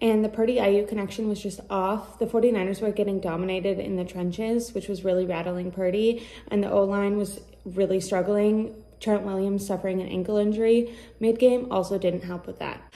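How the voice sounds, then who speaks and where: With fairly even intonation, a woman speaks at a fairly quick pace. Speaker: sports commentator. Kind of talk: solo sports reaction monologue. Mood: disappointed, analytical. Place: home room. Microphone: earbuds.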